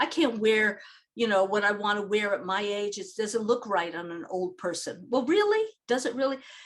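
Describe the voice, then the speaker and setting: A woman speaks in a normal speaking voice at a fairly high pitch. Her pace is moderate, with ordinary pitch variation. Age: 60s. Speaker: social gerontologist. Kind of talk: interview.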